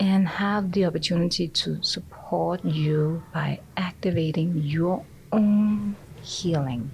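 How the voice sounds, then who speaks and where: At a very slow pace, a woman speaks with a fairly low, somewhat breathy voice, ordinary pitch variation and very even loudness. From Denmark (born in Austria). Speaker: energy healer. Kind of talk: interview.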